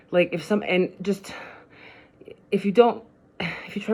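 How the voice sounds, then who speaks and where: At a fairly quick pace, a woman speaks at medium pitch. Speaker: vlogger. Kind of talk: personal vlog monologue. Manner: fast; halting.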